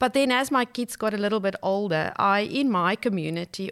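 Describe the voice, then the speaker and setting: Ordinary pitch variation and a moderate pace in a normal speaking voice. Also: woman. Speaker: life coach. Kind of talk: casual interview chat. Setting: studio.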